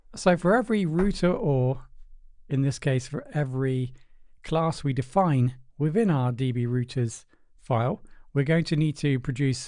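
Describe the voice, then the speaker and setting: A man with a British accent, medium pitch, a dark, mellow tone, ordinary pitch variation and a moderate pace. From Britain. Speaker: programming tutor. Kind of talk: tutorial. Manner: casual, with fillers.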